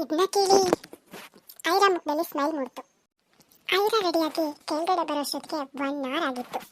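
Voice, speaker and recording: A woman speaks at a moderate pace and high pitch. The sound is dry and close, with no echo. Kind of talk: serial audio story narration. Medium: read story.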